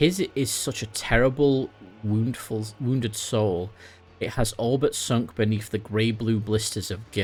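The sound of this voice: An unforced reading voice carries the passage.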